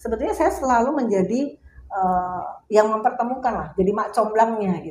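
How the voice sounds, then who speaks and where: A woman's fairly high, somewhat breathy voice has lively intonation and big swings in loudness. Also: moderate pace. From Jakarta, Indonesia. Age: 60s. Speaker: burial plot sales counselor. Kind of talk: interview. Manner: halting, with fillers.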